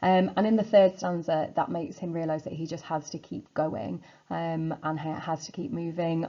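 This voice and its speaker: A woman with a British accent, fairly low in pitch and dark and mellow in tone, against a quiet background. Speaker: secondary school English teacher. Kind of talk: revision lecture. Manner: fast; casual, filler-heavy.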